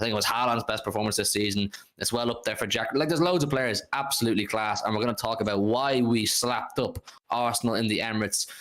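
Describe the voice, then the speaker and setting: Over noticeable background noise, a man at medium pitch talks at a very fast pace, keeping his loudness very even. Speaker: football fan livestream host. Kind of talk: live stream football review. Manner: animated.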